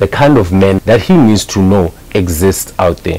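A man with a fairly low pitch talks at a fairly slow pace. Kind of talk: casual advice talk to camera. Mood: earnest, persuasive.

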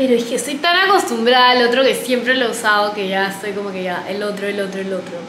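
In a room with audible echo and light background noise, a woman talks at a fairly quick pace. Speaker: beauty vlogger. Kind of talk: casual vlog chat. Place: bathroom. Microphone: phone near.

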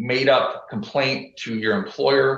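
A man speaks in an American accent with audible room echo. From US Midwest. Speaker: lawyer. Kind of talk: witness examination. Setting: video call. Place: office. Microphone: video call.

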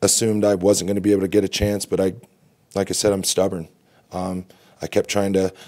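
A man speaks in a dark, mellow tone. Behind him the background is quiet. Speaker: lacrosse coach. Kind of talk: interview answer. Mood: reflective, calm. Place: hall. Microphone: podium.

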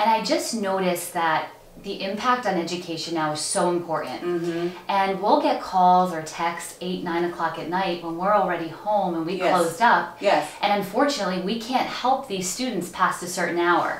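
With hardly any pauses, a woman talks at a moderate pace amid light background noise and audible room echo. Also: fairly low pitch for a woman, ordinary pitch variation. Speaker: interview guest. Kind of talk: interview answer. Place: studio.

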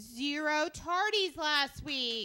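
Against a quiet background, a woman talks with lively intonation and a bright, sharp tone. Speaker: school staff announcer. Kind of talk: school announcements. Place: studio. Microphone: handheld.

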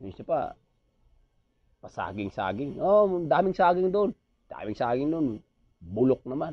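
With a Visayan accent, a man speaks at a fairly slow pace and a fairly high pitch, making very wide pitch swings and big swings in loudness, with long, frequent pauses. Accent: Visayan accent when speaking Tagalog. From Visayas, Philippines. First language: Cebuano (speaking Tagalog). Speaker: vlogger and aircraft ground mechanic; vlogger. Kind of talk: casual vlog monologue. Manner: animated. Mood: joking, playful. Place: home room.

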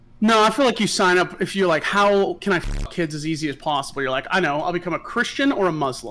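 A man talks at a very fast clip with hardly any pauses, his high voice bright and sharp, his intonation lively and his tone animated. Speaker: contestant on streamer panel show. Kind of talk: casual chat. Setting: video call. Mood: joking, sarcastic. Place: home room.

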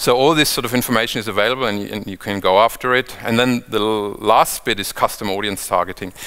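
A man speaks very fast with a fairly low pitch and hardly any pauses. His intonation is fairly even, and the background is quiet. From Germany. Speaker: ad tech executive; conference presenter. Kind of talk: conference talk. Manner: hesitant with frequent fillers. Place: hall. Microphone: headset.

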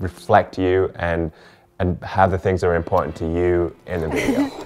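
A man's very deep, low voice at a moderate pace, with faint music in the background. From England. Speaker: wedding videographer. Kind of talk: casual talk to camera. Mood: warm, friendly, relaxed. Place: home room.

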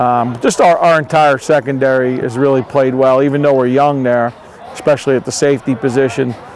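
Over light background noise in a dry sound with no echo, a man speaks at a fairly quick pace in monotone, flat intonation with very even loudness. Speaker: head football coach. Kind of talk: interview answer. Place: stadium. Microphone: lapel.

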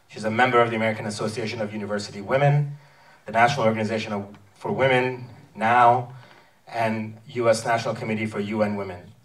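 A man's very fast delivery in a monotone, flat intonation. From Iran. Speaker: filmmaker and moderator. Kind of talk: event introduction. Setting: stage with audience. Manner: halting. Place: hall. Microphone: pa.

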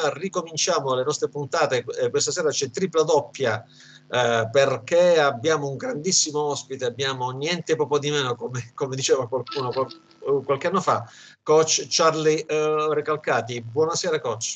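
Man's fairly high-pitched voice at a moderate pace, ordinary pitch variation, light background noise. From Calabria, southern Italy. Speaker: sports website editor and show host. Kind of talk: interview. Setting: video call. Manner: halting, repetitive. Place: home room. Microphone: video call.

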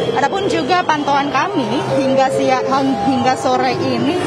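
Crowd noise fills the background as a woman speaks at a moderate pace with ordinary pitch variation. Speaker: field news reporter. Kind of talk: live news report. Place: station. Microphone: handheld.

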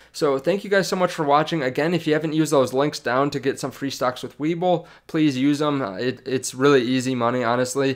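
Over a quiet background, the speech runs at a fairly quick pace with hardly any pauses and ordinary pitch variation. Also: man, fairly high pitch for a man. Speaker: stock market YouTuber. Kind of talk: casual video commentary. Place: home room. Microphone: studio mic.

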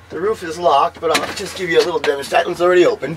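A man with an American accent, against noticeable background noise. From northern New Jersey (Sussex County); New Jersey. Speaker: homemade camper builder. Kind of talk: casual chat.

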